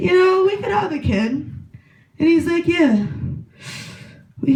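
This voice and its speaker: At a moderate pace, the voice swings very widely in pitch over noticeable background noise and audible room echo. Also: woman. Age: 20s. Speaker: comedian. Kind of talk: stand-up. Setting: stage with audience.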